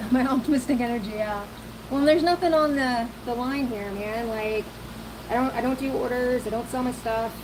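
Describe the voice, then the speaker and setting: A woman speaks at a fairly quick pace with a Southern US accent and a high pitch. Her pitch varies in an ordinary way, and there is noticeable background noise. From US South, lower Alabama / Florida panhandle. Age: 40s. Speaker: hobby potter streamer. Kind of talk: casual live-stream chat while working. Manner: casual, hesitant with fillers.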